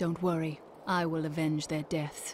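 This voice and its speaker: The speaker uses a put-on character voice at a middle pitch with monotone, flat intonation. Clear background noise can be heard. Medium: video game.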